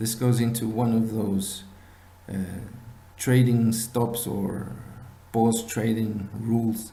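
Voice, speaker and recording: A man speaks very slowly in a fairly low, dark, mellow, somewhat breathy voice with monotone, flat intonation, and room echo is audible. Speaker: binary options trading instructor. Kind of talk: tutorial. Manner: halting.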